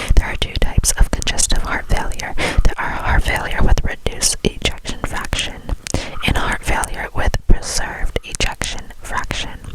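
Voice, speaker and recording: Whispering from a woman at a moderate pace, with noticeable background noise. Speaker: ASMR creator. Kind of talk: ASMR textbook reading, soft relaxing read-aloud. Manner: whispered, soft.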